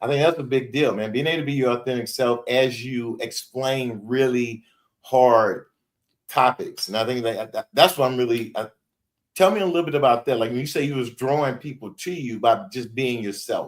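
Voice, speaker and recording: Speaking with a Louisiana accent, a man talks at a moderate pace and medium pitch with ordinary pitch variation. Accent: Louisiana Southern US. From Shreveport, Louisiana, US South. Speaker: podcast host. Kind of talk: podcast interview.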